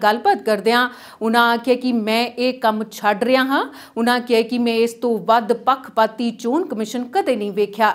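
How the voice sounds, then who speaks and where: An unremarkable speaking voice from a woman, fairly high in pitch, with fairly even intonation. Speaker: news anchor. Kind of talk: newsreading, scripted TV bulletin read from a script. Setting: studio. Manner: steady, formal and even-paced, delivering headlines in a brisk, neutral newsreader tone.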